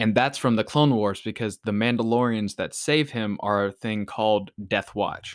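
A man with an unremarkable speaking voice talks at a moderate pace with hardly any pauses. His pitch is medium and his intonation fairly even, on a very clean recording with a silent background. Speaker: podcast host. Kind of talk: casual chat.

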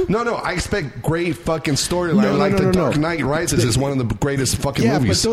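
A man's fairly high voice with very wide pitch swings and very even loudness, at a fairly quick pace with hardly any pauses, over noticeable background noise. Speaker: podcast host.

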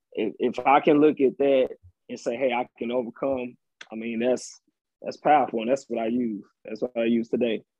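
The pitch holds fairly level throughout. It is an unremarkable speaking voice at a moderate pace. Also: man, medium pitch for a man. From Texas, Austin. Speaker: data analyst, actor and poet. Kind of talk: casual interview chat.

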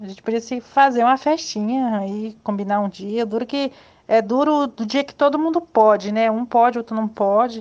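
Her pitch is fairly high and varies in an ordinary way. The woman talks at a moderate pace against a quiet background. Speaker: old schoolmate organizing reunion. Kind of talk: casual group chat.

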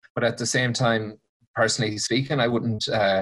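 A man speaks with fairly even intonation against a quiet background. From Ireland, County Mayo. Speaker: podcast guest, single man on dating apps. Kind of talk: casual interview chat.

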